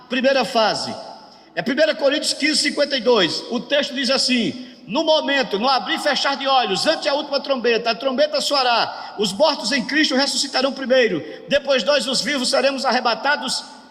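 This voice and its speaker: A man's extremely high-pitched voice at a moderate pace, with ordinary pitch variation, amid audible room echo and noticeable background noise. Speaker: pastor teaching a workshop. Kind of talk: lecture.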